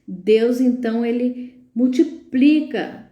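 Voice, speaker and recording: A woman's high-pitched voice carries an audible room echo. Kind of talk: live stream talk, sermon-like. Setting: live stream. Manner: filler-heavy, hesitant.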